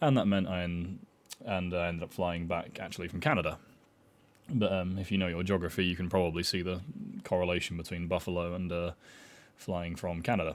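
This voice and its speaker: A man with a British accent speaks in a very deep, low pitch, his intonation fairly even and broken by long, frequent pauses. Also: fairly quick pace. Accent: UK. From Ireland. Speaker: vlogger. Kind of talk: personal travel story monologue. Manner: hesitant, many fillers.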